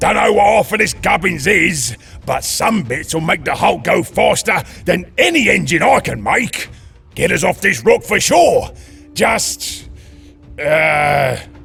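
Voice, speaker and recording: Putting on a raspy character voice, a man talks at a fairly slow pace while faint music plays in the background. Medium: voice reel. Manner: gruff, coarse.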